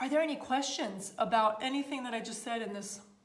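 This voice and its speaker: An animated tone with lively intonation at a fairly quick pace, with audible room echo. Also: woman. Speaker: style coach and livestream host. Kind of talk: live stream Q&A with viewers. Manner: animated, casual.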